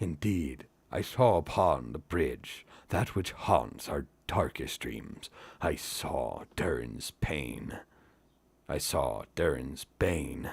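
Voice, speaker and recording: In a put-on character voice, a man speaks at a very slow pace with a very deep, low pitch, on a very clean recording with a silent background. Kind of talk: epic fantasy narration. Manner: low, dreading.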